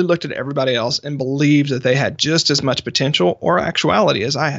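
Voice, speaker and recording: A man speaks in an unremarkable speaking voice at a fairly high pitch. His pace is fairly quick. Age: 30s. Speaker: author and business strategist. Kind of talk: interview.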